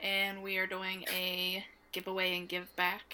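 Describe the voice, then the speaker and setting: The woman's voice has a bright, sharp tone in a very clean recording with a silent background. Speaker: podcast co-host. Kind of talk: casual chat, joking. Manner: playful, joking.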